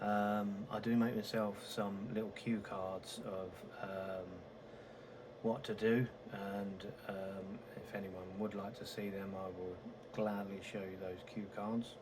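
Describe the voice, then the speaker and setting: A man's fairly low, monotone, flat voice at a very slow pace, with audible room echo and noticeable background noise. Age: old. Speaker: flight sim gamer. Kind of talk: gameplay commentary. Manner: halting; soft-spoken.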